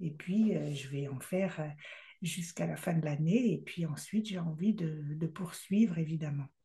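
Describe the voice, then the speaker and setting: A woman speaks fairly slowly with a fairly low pitch, a dark, mellow tone, some breathiness and ordinary pitch variation. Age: 60s. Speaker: love coach and speaker. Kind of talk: casual vlog monologue. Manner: hesitant, many fillers.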